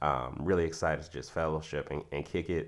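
The speaker is a man with vocal fry. His pitch varies in an ordinary way. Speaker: podcast host. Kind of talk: casual chat.

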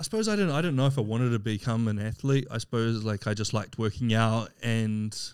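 A man talks very fast at a medium pitch, captured on a very clean recording with a silent background. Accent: New Zealand. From New Zealand, Wellington. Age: 30s. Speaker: physique athlete and recruiter. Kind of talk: casual chat.

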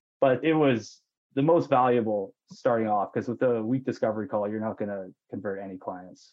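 The speaker has a western Canadian accent and a fairly quick pace. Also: man, medium pitch for a man, ordinary pitch variation. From Canada, British Columbia (Okanagan). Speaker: mortgage broker. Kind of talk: podcast interview.

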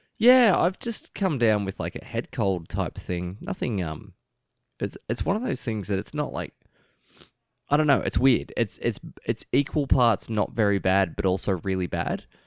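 A man with an Australian accent speaks with very wide pitch swings, in a dry, close sound with no echo. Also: medium pitch for a man, moderate pace. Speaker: podcast co-host reviewing TV episodes. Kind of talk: casual chat. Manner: quiet at times, uneven volume; natural, no put-on radio voice.

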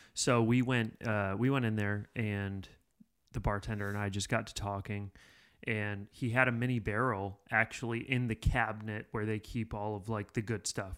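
A man's monotone, flat delivery at a moderate pace, very clean recording with a silent background. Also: fairly low pitch for a man. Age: 30s. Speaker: podcast producer. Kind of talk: casual chat. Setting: studio.

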